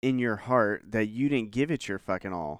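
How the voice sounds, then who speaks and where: A man with a plain, everyday voice at a medium pitch and moderate pace, dry and close with no echo, in a very clean recording with a silent background. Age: 30s. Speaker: podcast host. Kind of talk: casual monologue.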